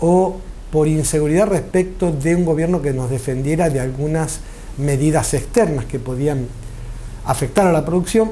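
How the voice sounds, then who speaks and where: The man's fairly high voice comes with audible room echo and noticeable background noise. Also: ordinary pitch variation, moderate pace. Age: 60s. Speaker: farmer. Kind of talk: interview. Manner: formal.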